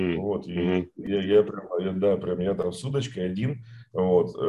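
The man speaks at a fairly low pitch. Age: 40s. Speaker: entrepreneur. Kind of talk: interview. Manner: halting, many fillers and repetitions.

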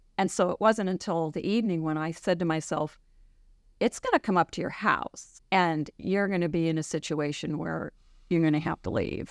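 A woman with an American accent uses a normal speaking voice at a fairly quick pace with ordinary pitch variation, in a very clean recording with a silent background and a dry, close sound with no echo. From New York City suburbs. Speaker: physician assistant. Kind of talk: interview.

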